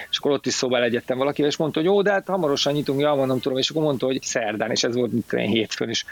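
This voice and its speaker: Against noticeable background noise, a man of medium pitch with ordinary pitch variation and very even loudness speaks at a very fast pace with hardly any pauses. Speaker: film expert and cybersecurity specialist. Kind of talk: casual chat. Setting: online audio room. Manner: halting.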